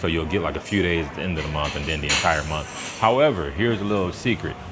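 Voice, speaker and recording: With music in the background and audible room echo, a man speaks fairly quickly in a very deep, low pitch with ordinary pitch variation. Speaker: wine channel host. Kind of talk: casual live stream at a restaurant. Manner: quiet.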